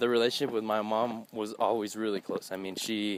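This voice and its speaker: A fairly low-voiced man in a monotone, flat intonation, with noticeable background noise. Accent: American. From US South, Texas border (McAllen). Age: 20s. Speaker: DJ and event entertainer. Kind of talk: personal interview testimony. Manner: halting, with many fillers.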